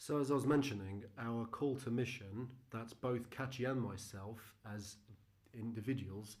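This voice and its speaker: A man with a British accent speaks fairly slowly in a somewhat breathy voice with fairly even intonation, amid audible room echo. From UK with Argentinian heritage. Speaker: missionary. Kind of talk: presentation. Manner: hesitant, with frequent fillers.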